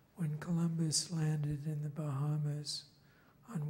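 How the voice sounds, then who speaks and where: Noticeable background noise behind a man speaking very slowly at a fairly high pitch in a monotone, flat intonation. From England. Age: 60s. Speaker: filmmaker. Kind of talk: conference panel talk.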